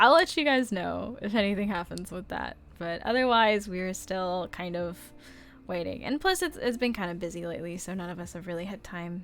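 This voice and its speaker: Against music in the background, a woman talks at a moderate pace and medium pitch, with ordinary pitch variation and big swings in loudness. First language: Chinese. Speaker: artist streamer. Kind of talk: casual livestream chat answering viewer questions. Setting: livestream. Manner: hesitant, many fillers.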